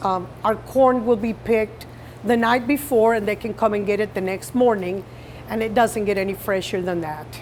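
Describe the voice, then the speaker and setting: The speaker has a Colombian accent and ordinary pitch variation, with noticeable background noise behind the voice. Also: woman. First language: Spanish. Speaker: farmer. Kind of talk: interview.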